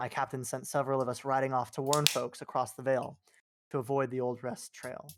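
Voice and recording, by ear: Someone is reading aloud in a natural voice. Behind them the background is quiet.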